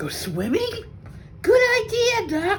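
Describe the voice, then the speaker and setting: A woman uses a put-on character voice, squeaky and extremely high in pitch. Light background noise is present. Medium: read story. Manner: enthusiastic.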